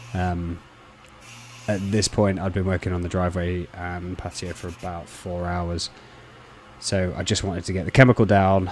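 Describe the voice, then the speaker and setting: With a Lincolnshire accent, a man talks in a relaxed tone at a very deep, low pitch and a moderate pace, his intonation monotone and flat, with long, frequent pauses. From Lincolnshire, England. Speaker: pressure washing contractor. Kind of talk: voice-over commentary on work footage. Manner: casual, relaxed.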